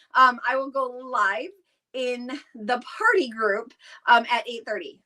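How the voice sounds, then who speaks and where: A woman's raised, projected voice, animated in tone, with very wide pitch swings. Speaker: direct sales consultant hosting live stream. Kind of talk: live stream chat. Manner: loud; excitable, animated.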